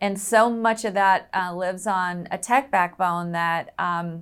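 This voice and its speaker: A woman with an American accent talks at a fairly slow pace in an ordinary speaking voice, her pitch medium and her intonation fairly even. The recording is very clean, with a silent background. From US South. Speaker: sports league technology executive. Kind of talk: interview.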